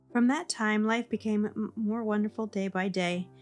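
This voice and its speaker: A woman with fairly high pitch, a calm, soothing tone and fairly even intonation, at a moderate pace, with music in the background. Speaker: audiobook narrator. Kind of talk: sleep story reading of a classic novel. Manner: calm, soft, soothing.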